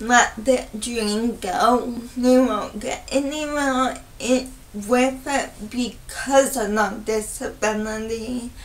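A woman with a high voice speaks at a very slow pace. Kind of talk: personal vlog monologue.

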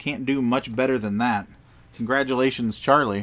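An ordinary speaking voice talks at a fairly slow pace with ordinary pitch variation. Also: man. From Pennsylvania roots, grew up elsewhere in US. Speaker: trading card seller and pack opener. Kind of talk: livestream pack opening. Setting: home card room livestream. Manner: casual, upbeat.

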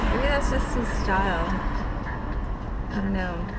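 A woman speaks fairly slowly while loud noise fills the background. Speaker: vlogger. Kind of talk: casual vlog chat. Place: car. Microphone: phone near.

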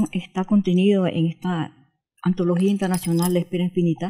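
The background is quiet. A woman speaks in a dark, mellow tone. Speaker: poet. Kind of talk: interview with poem reading. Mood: expressive, emphatic recitation. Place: home room. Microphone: handheld.

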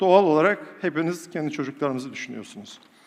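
A man with an animated tone at a fairly quick pace. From Turkey, rural village. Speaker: professor and public speaker. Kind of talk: motivational talk to a live audience. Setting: stage with audience. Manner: animated, rhetorical.

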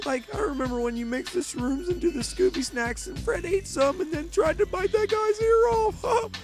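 Someone uses a put-on character voice at a moderate pace. Music plays clearly in the background. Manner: laid-back, rambling.

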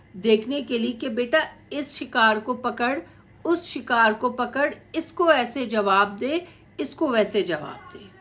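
Over faint background music, a woman with a high pitch speaks very slowly, her intonation lively and her loudness swinging widely. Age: middle-aged. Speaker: YouTube commentator. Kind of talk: video commentary monologue. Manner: animated. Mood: critical, mocking. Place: home room. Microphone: phone near.

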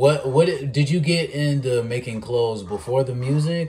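A man's medium-pitched, somewhat breathy voice with a dark, mellow tone at a moderate pace. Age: 20s. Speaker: podcast host. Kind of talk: casual interview. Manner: animated.

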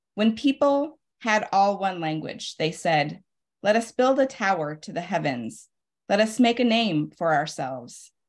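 A woman with a medium-pitched voice speaks at a fairly slow pace, her pitch swinging very widely. The background is quiet. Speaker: poet and literary magazine editor; poet. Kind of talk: poetry reading. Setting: video call. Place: home room. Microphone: video call.

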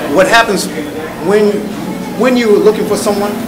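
A high-pitched man against noticeable background noise. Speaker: audience member. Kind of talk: audience comment. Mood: earnest, persuasive. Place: hall. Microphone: handheld.

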